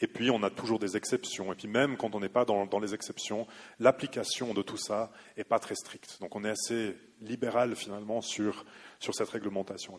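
An ordinary speaking voice at a moderate pace. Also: man. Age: 30s. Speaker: law researcher on agricultural policy. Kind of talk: lecture; audience Q&A.

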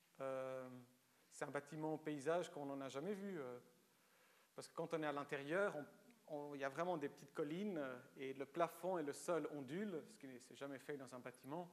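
At a moderate pace, a man speaks with long, frequent pauses, big swings in loudness, and ordinary pitch variation. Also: fairly high pitch for a man. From Switzerland, Lausanne (Vaud), born in Romania. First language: Romanian (speaking French). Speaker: writer. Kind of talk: public lecture.

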